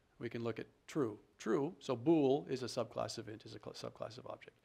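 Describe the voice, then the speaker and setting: A man with an unremarkable speaking voice talks at a fairly quick pace. His pitch is medium, with ordinary pitch variation. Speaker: programming tutorial instructor. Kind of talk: tutorial.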